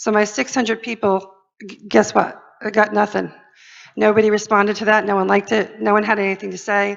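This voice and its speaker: The voice runs at a very fast pace in a monotone, flat intonation. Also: woman. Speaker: social media marketing speaker. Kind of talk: conference presentation.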